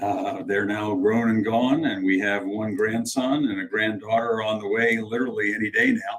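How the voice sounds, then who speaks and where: Using an ordinary speaking voice with an American accent, a man talks at a moderate pace and medium pitch, with fairly even intonation and hardly any pauses. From Virginia, Charlottesville. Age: 60s. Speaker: mayor and lawyer. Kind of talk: interview.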